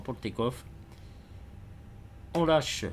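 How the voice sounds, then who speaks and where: Speaking at a moderate pace, a man uses lively intonation and shows vocal fry. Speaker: flight simulator gamer. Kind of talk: gameplay commentary. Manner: halting, many hesitations.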